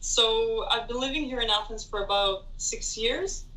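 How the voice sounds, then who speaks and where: In a room with audible echo, a woman speaks at a fairly slow pace in a bright, sharp tone with ordinary pitch variation. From Israel, Tel Aviv. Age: 20s. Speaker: international student. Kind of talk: interview.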